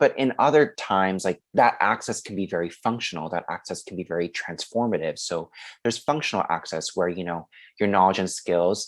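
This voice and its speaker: A man with a Korean accent and a very deep, low pitch, ordinary pitch variation, on a very clean recording with a silent background. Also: fairly quick pace. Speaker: podcast host, education student. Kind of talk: podcast discussion.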